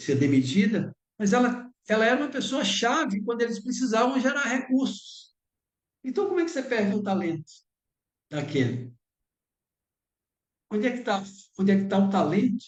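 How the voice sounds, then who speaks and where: Speaking at a moderate pace with a high pitch, a man leaves long, frequent pauses. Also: lively intonation. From Bahia, Brazil. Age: 60s. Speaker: lecturer. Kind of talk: lecture.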